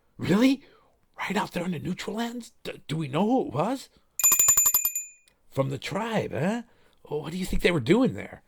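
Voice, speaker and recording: Using a put-on character voice, a man talks at a moderate pace in a high pitch. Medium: read story.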